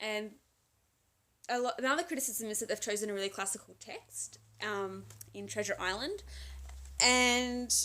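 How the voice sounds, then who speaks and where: The speaker is a woman. Her voice sounds bright and sharp. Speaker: book vlogger. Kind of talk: casual book review monologue. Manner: fast.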